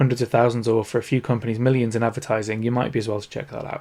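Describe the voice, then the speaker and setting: A man with a Northern English accent talks at a very fast pace in a medium pitch. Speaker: podcast host, toy industry consultant. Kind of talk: solo podcast talk.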